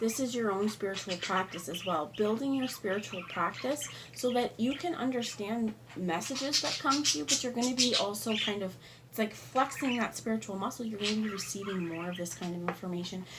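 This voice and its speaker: Lively intonation carries speech at a fairly quick pace. Noticeable background noise runs underneath. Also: woman, fairly high pitch for a woman. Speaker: tarot reader. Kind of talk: tarot reading.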